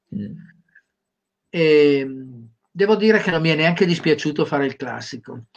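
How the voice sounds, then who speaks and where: This man's pitch is fairly high and varies in an ordinary way. He keeps a moderate pace, broken by long, frequent pauses. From Sardinia, Cagliari. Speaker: career trainer. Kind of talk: interview.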